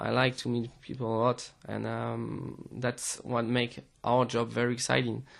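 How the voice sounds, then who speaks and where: This man has a medium-pitched voice and speaks with a French accent. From France. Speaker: DJ and music producer. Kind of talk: interview. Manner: hesitant, many fillers.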